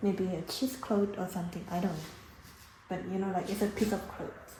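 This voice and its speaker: Speaking with a non-native accent, a woman delivers her words at a fairly quick pace and medium pitch, with fairly even intonation. Audible room echo and noticeable background noise fill the recording. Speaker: cooking vlogger. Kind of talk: tutorial. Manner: casual, hesitant with fillers.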